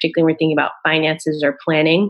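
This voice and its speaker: A woman speaks with an American accent. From US Northeast, Rhode Island. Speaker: naturopathic doctor. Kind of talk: podcast interview, explanatory.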